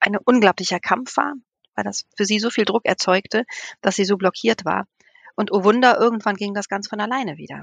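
The woman has a normal speaking voice of medium pitch, with fairly even intonation. The sound is dry and close, with no echo. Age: 50s. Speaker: nun and children's village mother. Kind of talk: casual chat.

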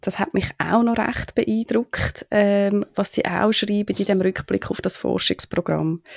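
In a dry, close recording with no echo, a woman with a normal speaking voice talks at a moderate pace in a medium pitch. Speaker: podcast host. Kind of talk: interview.

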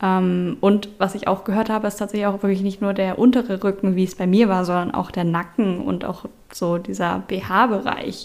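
In a plain, everyday voice, a woman of medium pitch speaks at a moderate pace with hardly any pauses and fairly even intonation. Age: 20s. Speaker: IT consultant, patient sharing illness experience. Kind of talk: interview testimony.

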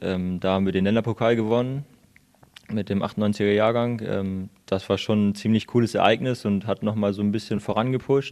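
Here a man talks at a moderate pace. His pitch is fairly low and his intonation fairly even. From Lower Saxony, Hildesheim. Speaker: handball player. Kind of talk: interview. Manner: hesitant, many fillers.

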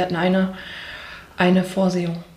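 A woman at medium pitch speaks in a room with audible echo and noticeable background noise. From Ruhr area, Germany (Wattenscheid). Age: 30s. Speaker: bereaved daughter of suicide victim. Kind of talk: personal testimony. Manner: halting.

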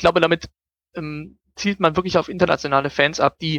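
Recorded with a dry, close sound and no echo, a man talks at a fairly slow pace in a fairly high pitch. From Germany, Düsseldorf. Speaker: football fan, journalist. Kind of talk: casual interview. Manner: hesitant, many filler sounds.

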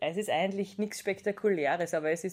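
At a moderate pace, a woman talks in a plain, everyday voice of medium pitch with fairly even intonation. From Austria, Styria (Judenburg). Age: 20s. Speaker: wrestler and pharmaceutical scientist. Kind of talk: interview.

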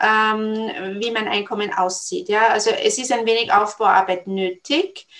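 At a fairly slow pace, a woman speaks in a fairly high pitch with lively intonation. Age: 40s. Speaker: network marketing entrepreneur and career counsellor. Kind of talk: interview. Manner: hesitant, many filler sounds.

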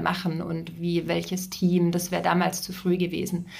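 Medium-pitched woman's speech at a moderate pace with audible room echo. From southern Germany, Ravensburg area. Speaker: succession and career coach. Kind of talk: casual interview. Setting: in-person studio visit.

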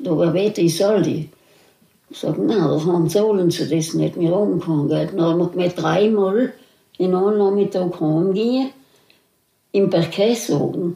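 With a dark, mellow tone and fairly low pitch, a woman speaks at a moderate pace with long, frequent pauses. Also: ordinary pitch variation. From South Tyrol, Italy. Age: 80s+. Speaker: contemporary witness. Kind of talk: oral history interview. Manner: halting.

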